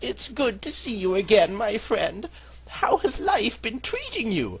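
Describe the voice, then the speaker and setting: A put-on character voice at a fairly slow pace, over light background noise. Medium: machinima.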